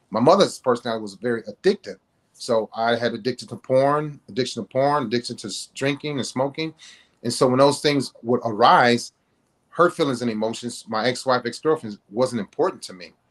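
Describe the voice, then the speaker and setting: The voice moves at a fairly quick pace with ordinary pitch variation. The sound is dry and close, with no echo. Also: man, medium pitch for a man. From US Midwest, Cleveland. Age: 50s. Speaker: author. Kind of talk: interview. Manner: animated.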